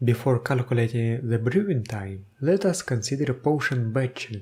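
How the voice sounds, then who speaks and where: A man's somewhat breathy, medium-pitched voice with a dark, mellow tone. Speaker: tabletop game video host. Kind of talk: tutorial explanation to camera.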